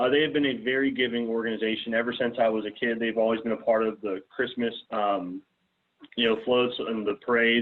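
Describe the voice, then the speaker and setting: With an American accent, a man talks at a fairly quick pace, keeping a medium pitch and fairly even intonation. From US South, south Mississippi. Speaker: student, scholarship recipient. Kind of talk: talk to a club.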